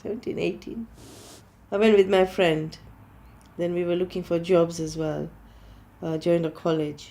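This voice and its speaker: With a Gujarati accent, a woman speaks at a moderate pace with long, frequent pauses, her fairly low voice dark and mellow in tone and her intonation fairly even. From Kenya and Gujarat, India. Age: 60s. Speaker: interviewee in documentary. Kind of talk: interview. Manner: halting.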